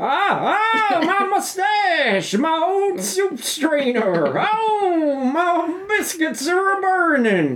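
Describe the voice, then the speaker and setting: A woman speaks very slowly in a put-on character voice. Background noise is clearly heard. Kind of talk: old-fashioned, comic. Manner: panicked, comic yelping.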